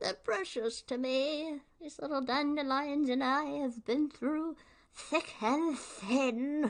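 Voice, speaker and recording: Very slowly, a female-sounding voice performs a put-on character voice at a high pitch. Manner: sweet, creepy, mock-tender.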